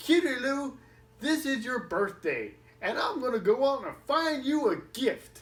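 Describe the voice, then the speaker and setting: A female-sounding voice puts on a high-pitched character voice. It moves at a moderate pace with lively intonation. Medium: read story.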